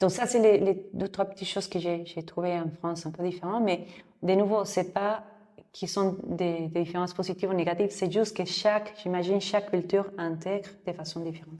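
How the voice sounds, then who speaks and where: With a Mexican accent, a woman speaks at a fairly quick pace in a dark, mellow tone with monotone, flat intonation. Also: medium pitch for a woman. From Mexico City. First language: Spanish (speaking French). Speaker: yoga teacher. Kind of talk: interview. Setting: yoga studio, seated on floor mats. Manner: halting.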